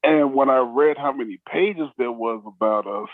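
At a fairly slow pace, a man talks in a medium pitch. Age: 50s. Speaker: former wrestling manager and rapper. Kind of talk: casual interview.

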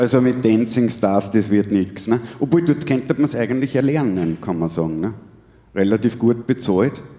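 A dark, mellow tone and medium pitch mark a man talking at a moderate pace. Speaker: podcast host and musician. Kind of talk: live stage interview. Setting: stage with audience.

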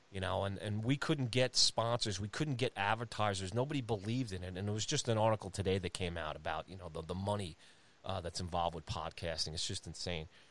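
Speaking very fast, a man with a New York accent has a fairly low pitch and ordinary pitch variation. The recording is very clean, with a silent background. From Long Island, New York. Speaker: hockey podcast host. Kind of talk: casual chat.

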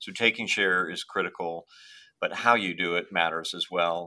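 Speaking at a moderate pace, a man has a very deep, low pitch and a bright, sharp tone. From Ireland. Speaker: restaurant chain CEO. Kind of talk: interview.

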